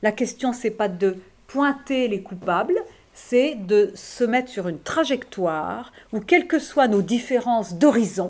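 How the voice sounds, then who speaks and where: A woman speaks very slowly in a fairly high pitch, her intonation lively. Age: 50s. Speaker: philosopher. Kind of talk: school talk answering questions. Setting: high school classroom event. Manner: halting.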